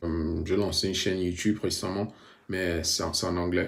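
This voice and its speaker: This man talks in a very deep, low pitch. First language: bilingual, mostly English-dominant (speaking French). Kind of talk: personal testimony vlog. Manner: halting, many hesitations.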